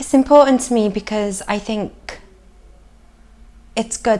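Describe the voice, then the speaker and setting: A woman with a South Welsh accent speaks at a fairly high pitch and with fairly even intonation, over noticeable background noise. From south Wales, Llanelli area. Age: 20s. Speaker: community theatre participant. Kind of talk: documentary interview.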